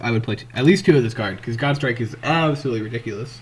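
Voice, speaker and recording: A man with a medium-pitched, somewhat breathy voice speaks with fairly even intonation. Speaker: trading card game content creator. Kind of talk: casual gameplay commentary. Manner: casual, hesitant.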